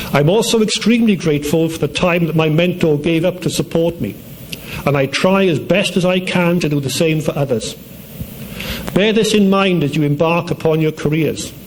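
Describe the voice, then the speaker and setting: Through noticeable background noise, a man with a Welsh accent speaks at a moderate pace in a high pitch with ordinary pitch variation. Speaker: university dean. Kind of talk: commencement speech. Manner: formal.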